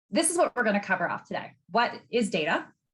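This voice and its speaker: A somewhat breathy woman talks at a fairly quick pace, her pitch swinging very widely. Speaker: data expert giving a masterclass. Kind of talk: webinar presentation. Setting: video call. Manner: fast when excited.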